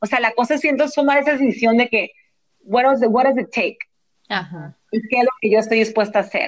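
Fairly high in pitch with ordinary variation, a woman talks at a fairly quick pace. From US West Coast, San Diego, Mexican family. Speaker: actress and entrepreneur. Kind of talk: interview.

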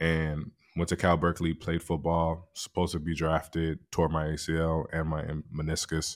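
On a very clean recording with a silent background, a man with a very deep, low pitch and an American accent talks at a moderate pace in a monotone, flat intonation. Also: hardly any pauses. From US West Coast, San Francisco. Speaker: financial advisor. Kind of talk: interview.

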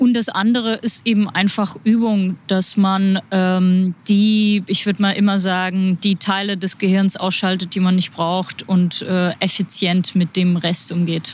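The delivery is monotone and flat, at a fairly slow pace. Loudness stays very even, with hardly any pauses. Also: woman, medium pitch for a woman. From Germany. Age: 30s. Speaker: interpreter. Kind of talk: casual interview.

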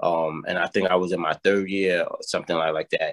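A man with a New York accent, recorded with a dry, close sound and no echo. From New York, South Bronx. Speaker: mentoring program director. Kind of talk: interview. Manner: hesitant, many fillers and repetitions.

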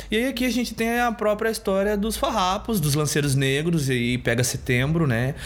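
With a southern Brazilian accent, the speaker talks at a moderate pace with hardly any pauses, very even loudness and very wide pitch swings, over noticeable background noise. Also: man, high pitch for a man. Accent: southern Brazilian (gaúcho) Portuguese. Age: young. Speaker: rapper and social educator. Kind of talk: casual chat.

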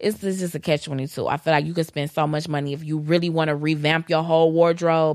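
A woman speaks in a very deep, low voice with an American accent. Her pace is fairly quick and her intonation monotone and flat. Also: hardly any pauses. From Detroit, Michigan. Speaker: podcast co-host. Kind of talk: casual chat.

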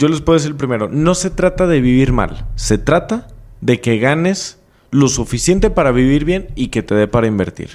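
A man with a Mexican accent speaks at a moderate pace and a fairly high pitch. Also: lively intonation. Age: 20s. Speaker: entrepreneur. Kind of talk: casual interview.

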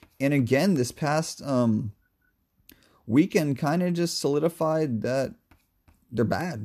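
Over a very clean recording with a silent background, a man with a dark, mellow tone speaks at a moderate pace with lively intonation and long, frequent pauses. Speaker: sports podcast co-host. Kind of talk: casual sports analysis chat. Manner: animated, high energy; loud at times.

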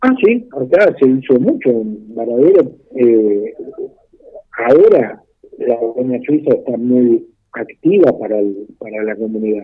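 A man in a Rioplatense accent at a very slow pace, with long, frequent pauses. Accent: Argentine Rioplatense Spanish. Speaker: retired doctor. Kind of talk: radio interview. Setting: phone call. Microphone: blurry connection.

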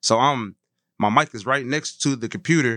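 A man's medium-pitched voice with ordinary pitch variation, over a quiet background. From St. Paul, Minnesota. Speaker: music producer and rapper. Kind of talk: casual chat.

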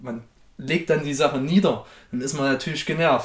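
A man is speaking. His pace is moderate. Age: 20s. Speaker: podcast guest. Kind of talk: casual chat.

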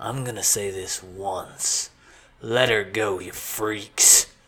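On a very clean recording with a silent background, a man puts on a raspy character voice at fairly low pitch, speaking at a very slow pace with fairly even intonation and big swings in loudness. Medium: read story. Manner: blunt, gruff.

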